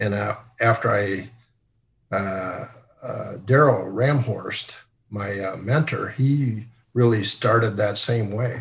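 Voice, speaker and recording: A man with a Midwestern US accent, medium in pitch and somewhat breathy, at a very slow pace with ordinary pitch variation and long, frequent pauses. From Sioux Center, Iowa. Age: 60s. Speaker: retired company CEO. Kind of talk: casual interview, storytelling. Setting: video call.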